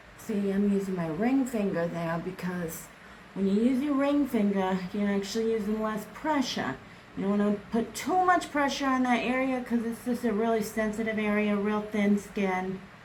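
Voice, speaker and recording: A fairly high-pitched woman with an American accent, amid audible room echo and noticeable background noise. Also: ordinary pitch variation, moderate pace. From US Midwest. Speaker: beauty vlogger. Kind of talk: makeup tutorial.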